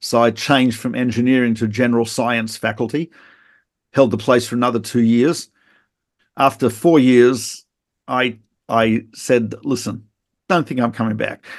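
With an Australian accent, a man speaks at a moderate pace and medium pitch, his intonation fairly even and his speech broken by long, frequent pauses against a quiet background. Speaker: rabbi and Torah teacher. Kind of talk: interview conversation. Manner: halting.

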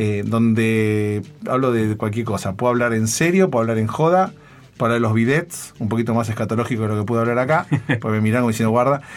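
With an unremarkable speaking voice, a man of medium pitch talks at a fairly quick pace with ordinary pitch variation. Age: 40s. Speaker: internet entrepreneur and podcaster. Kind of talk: interview.

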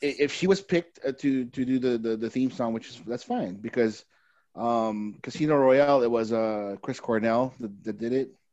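Moving at a moderate pace, a man with an ordinary speaking voice keeps a medium pitch and ordinary pitch variation. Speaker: podcast co-host. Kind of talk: casual chat.

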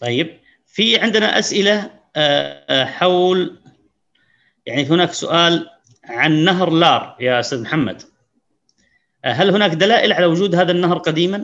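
A man's high voice, fairly slow with long, frequent pauses, lively intonation and very even loudness. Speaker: moderator. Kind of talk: panel moderation. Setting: video call.

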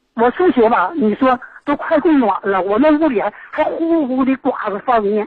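Lively intonation marks a woman's high-pitched voice, heard over noticeable background noise. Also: moderate pace. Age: 60s. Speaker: caller. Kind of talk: call-in complaint. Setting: phone call. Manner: halting.

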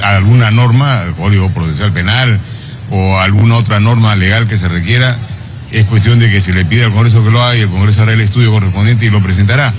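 A man with a fairly low pitch speaks at a very fast pace. There is audible room echo and noticeable background noise. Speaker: congressman. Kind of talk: press interview.

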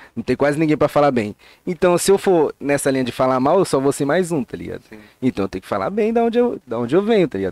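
At a very fast pace, a man with a fairly high voice swings his pitch very widely, recorded dry and close with no echo. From São Paulo, Grajaú (south zone). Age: 20s. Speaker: comedian and digital influencer. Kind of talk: casual chat.

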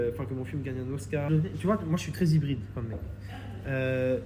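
A man talks at a moderate pace in a room with audible echo and noticeable background noise. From France, Reims. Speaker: film director. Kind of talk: casual interview chat. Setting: coworking office.

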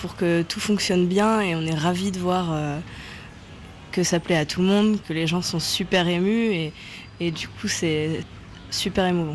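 Fairly even intonation and a fairly slow pace come through noticeable background noise. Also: woman. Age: 20s. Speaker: choir organiser and percussion student in Cuba. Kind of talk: interview.

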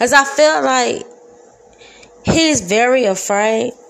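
Over noticeable background noise, a woman talks in an animated tone with ordinary pitch variation. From Detroit, east side. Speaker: podcaster. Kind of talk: casual monologue. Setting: home kitchen.

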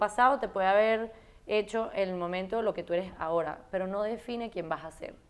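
A woman talks in an unremarkable speaking voice at a medium pitch. Her pitch varies in an ordinary way, and her pace is moderate. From Venezuela. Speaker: fashion writer and content creator. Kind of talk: casual interview. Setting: at home.

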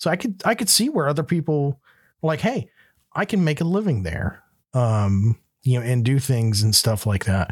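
A man with an American accent, somewhat breathy, with very wide pitch swings and very even loudness, on a very clean recording with a silent background. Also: medium pitch for a man, moderate pace. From US South, Florida Panhandle (Panama City). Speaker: podcast host, business owner. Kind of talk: casual chat.

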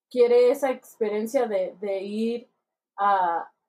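At a very slow pace, a woman talks with lively intonation. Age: 20s. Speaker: podcast host. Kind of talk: casual chat.

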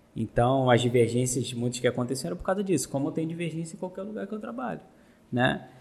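A man talks at a very fast pace in a somewhat breathy voice, his pitch swinging very widely. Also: medium pitch for a man. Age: 30s. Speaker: teacher and business owner. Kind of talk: casual chat.

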